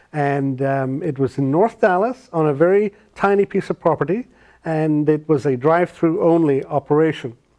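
A man with an Irish accent, fairly high pitch and a dark, mellow tone, at a moderate pace with ordinary pitch variation against a quiet background. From Ireland. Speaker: restaurateur, consultant. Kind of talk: interview answer. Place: studio. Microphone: lapel.

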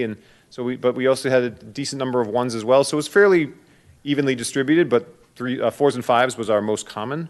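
Talking very fast, a man speaks at a medium pitch. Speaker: school administrator presenting to a school committee. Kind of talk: presentation to a committee meeting.

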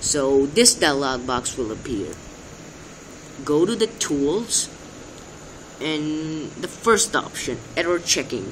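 Against light background noise, a man with a non-native accent talks very slowly at a fairly high pitch, his voice making very wide pitch swings. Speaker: amateur tech tutorial maker. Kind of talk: screen-recording tech tutorial. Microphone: phone near.

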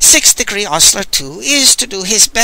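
Simply a natural reading voice.

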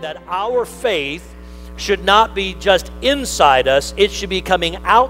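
With faint music in the background, a man speaks at a very slow pace. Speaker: pastor. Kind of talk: sermon. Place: church.

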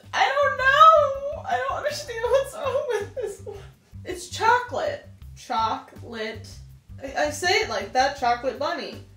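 Over faint background music, a woman speaks at a fairly slow pace with big swings in loudness, in audible room echo. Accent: American. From Pennsylvania. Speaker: vlogger. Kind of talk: casual talk to camera. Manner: chatty, playful. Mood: amused, laughing.

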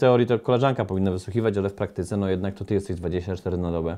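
Fairly quick in pace, a man speaks in a dark, mellow tone with ordinary pitch variation. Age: 40s. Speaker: motivational coach. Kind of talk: motivational monologue. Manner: animated. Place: studio. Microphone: studio mic.

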